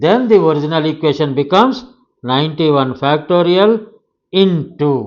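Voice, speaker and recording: Lively intonation and a moderate pace in a plain, everyday voice. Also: man, fairly high pitch for a man. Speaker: math teacher. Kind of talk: lecture.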